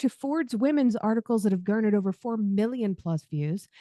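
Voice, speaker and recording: A woman's fairly high voice with a dark, mellow tone comes through a dry, close sound with no echo. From US South, Arkansas. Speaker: podcast host. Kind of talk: interview.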